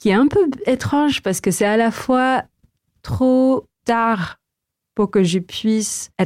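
With a Filipino accent, a woman speaks in a fairly high voice with ordinary pitch variation and very even loudness, the sound dry and close with no echo. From Philippines. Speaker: tech entrepreneur. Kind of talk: interview.

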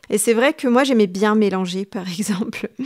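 Medium pitch and ordinary pitch variation from a woman, on a very clean recording, silent background. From Tunisia, Tunis. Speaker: novelist and literature teacher. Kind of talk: interview. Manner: halting, many hesitations.

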